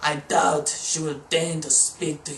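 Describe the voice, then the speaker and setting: Using a put-on character voice, a man speaks at a fairly slow pace and a fairly high pitch. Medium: read story. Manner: squawking.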